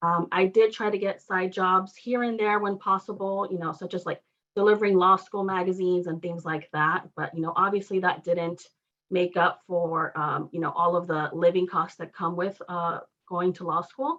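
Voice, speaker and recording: Intonation is fairly even. The speech keeps a moderate pace. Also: woman, medium pitch for a woman. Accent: Spanish. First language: Spanish. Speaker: law fellow awaiting bar results. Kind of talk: testimony. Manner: halting, many fillers.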